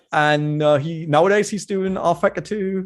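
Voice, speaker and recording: A man with a German accent and a high voice, moderate pace, ordinary pitch variation, quiet background. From Germany. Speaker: sim racing commentator. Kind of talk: interview.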